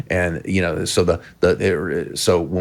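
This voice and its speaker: This is a man speaking. His pitch is very deep and low. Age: 60s. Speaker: author and former sales speaker. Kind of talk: interview on a business podcast.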